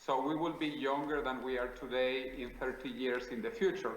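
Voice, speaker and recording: Over noticeable background noise and audible room echo, a man talks at medium pitch and a moderate pace with ordinary pitch variation. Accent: Spanish. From South America. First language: Spanish. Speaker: futurist interviewee. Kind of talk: interview.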